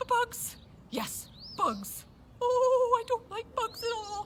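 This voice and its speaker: A cartoonish character voice talks at a very slow pace over clear background noise. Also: woman, extremely high pitch for a woman. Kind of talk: children's puppet show. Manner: fast, excitable.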